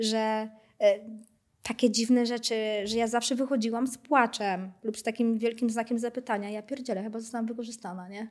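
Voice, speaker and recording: A woman's fairly high voice, flat and monotone in intonation, at a fairly quick pace. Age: 30s. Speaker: fortune teller. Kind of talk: casual interview.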